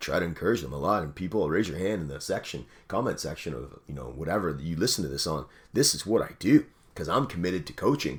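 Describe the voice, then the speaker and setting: The voice is animated, with vocal fry, lively intonation and a very fast pace. Loudness swings widely, and the recording is very clean with a silent background. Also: man, very deep, low pitch for a man. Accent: Canadian. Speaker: radio host and fitness coach. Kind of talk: motivational talk. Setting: call with listeners.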